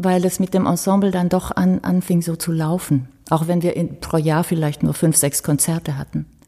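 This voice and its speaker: Somewhat breathy and dark, mellow in tone, a woman speaks at a fairly quick pace and fairly low pitch with ordinary pitch variation. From Romania, German minority family. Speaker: violinist. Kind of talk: casual interview. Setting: ensemble house.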